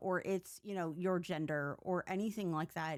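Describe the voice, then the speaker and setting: A woman with a normal speaking voice, medium pitch and a moderate pace. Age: 40s. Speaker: gaming streamer. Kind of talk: casual live-stream chat while gaming.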